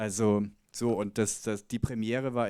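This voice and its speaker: The man's pitch is fairly low and his intonation monotone and flat. He talks at a fairly slow pace. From Bavaria, Germany (Chiemgau area). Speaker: documentary filmmaker. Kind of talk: Q&A after film screening. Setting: cinema stage with audience.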